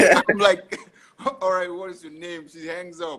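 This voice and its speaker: A man speaks with an African accent. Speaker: podcast host. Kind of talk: casual chat. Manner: halting.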